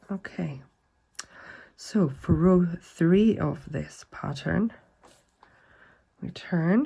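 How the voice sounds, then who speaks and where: A woman's fairly low, dark and mellow voice, somewhat breathy, with lively intonation, a very slow pace, long and frequent pauses, and big swings in loudness. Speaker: crochet instructor. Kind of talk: tutorial. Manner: slow, repetitive instructions.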